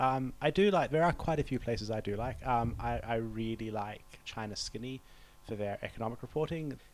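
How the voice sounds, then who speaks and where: Speaking at a moderate pace, a man with a New Zealand accent uses lively intonation at a medium pitch. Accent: Kiwi. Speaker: diplomat. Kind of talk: interview. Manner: hesitant, with fillers.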